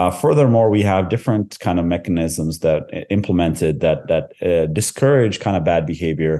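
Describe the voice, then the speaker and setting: A man with a very deep, low pitch and a dark, mellow tone, at a moderate pace with hardly any pauses and very even loudness, over a quiet background. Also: ordinary pitch variation. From Canada. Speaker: tech company CEO. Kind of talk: interview. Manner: halting.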